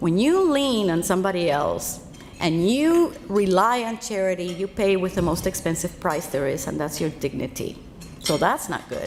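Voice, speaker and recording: Against noticeable background noise, a woman speaks in a medium pitch at a moderate pace with lively intonation. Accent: Spanish. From Cuba, then Los Angeles from age fourteen. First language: Spanish. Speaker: financial speaker. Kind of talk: keynote speech.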